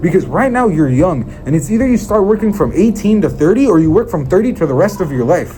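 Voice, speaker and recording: With music in the background, a man at a high pitch rushes along at a very fast pace with hardly any pauses, using an animated tone, lively intonation and very even loudness. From Israel. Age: young. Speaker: sales motivational speaker. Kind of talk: motivational talk. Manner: occasional stutter.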